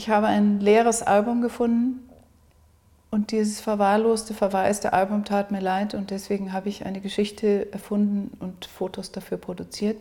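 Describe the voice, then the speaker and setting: A woman talks at a moderate pace in a medium pitch, her dark, mellow tone somewhat breathy and her intonation flat and monotone. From South Africa. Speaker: artist. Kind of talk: interview. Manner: halting.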